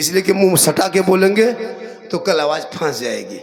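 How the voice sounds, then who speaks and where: Over noticeable background noise and audible room echo, a man talks at a high pitch with ordinary pitch variation. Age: 50s. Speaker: Islamic preacher. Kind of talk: religious sermon with humor. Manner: animated.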